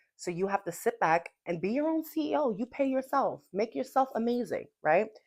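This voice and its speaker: Recorded very cleanly against a silent background, a woman speaks at a moderate pace in an animated tone with very wide pitch swings. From New York, Puerto Rican heritage. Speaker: podcast host. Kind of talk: casual motivational talk.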